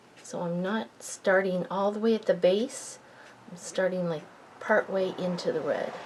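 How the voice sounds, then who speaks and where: Over noticeable background noise, a woman speaks at a fairly slow pace and medium pitch. Her tone is relaxed, with ordinary pitch variation. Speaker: card-making crafter. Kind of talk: tutorial. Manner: mumbling at times; relaxed, casual.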